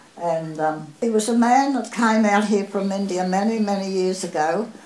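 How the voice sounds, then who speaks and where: A woman talks with ordinary pitch variation, and audible room echo surrounds her voice. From Australia. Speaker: oral history interviewee. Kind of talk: oral history interview answer. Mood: fond, nostalgic. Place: home room.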